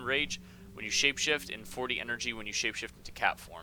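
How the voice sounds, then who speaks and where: A man speaking with music in the background. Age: 20s. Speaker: gaming livestreamer. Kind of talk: live gameplay stream chat. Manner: casual, hesitant with many ums.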